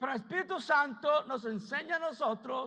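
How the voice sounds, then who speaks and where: The voice is raised and projected, bright and sharp in tone, moving at a fairly slow pace with lively intonation. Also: man. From United States. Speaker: pastor. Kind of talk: sermon.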